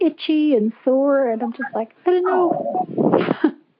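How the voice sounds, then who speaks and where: Her intonation rises and falls in a lively way. This woman's pitch is high. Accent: Irish. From Ireland. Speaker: caller. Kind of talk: casual chat.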